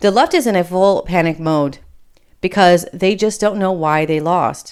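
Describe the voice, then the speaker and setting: A woman with an American accent, a fairly low pitch and a moderate pace. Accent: Michigan accent, Appalachian coming through. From Michigan, with Appalachian Kentucky family. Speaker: podcast host. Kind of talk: political commentary monologue. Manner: casual, conversational.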